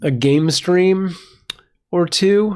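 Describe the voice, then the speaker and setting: The pitch shifts in an ordinary way. It belongs to a man. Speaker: live streamer and cat foster. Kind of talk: live stream chat. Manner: casual, halting with fillers.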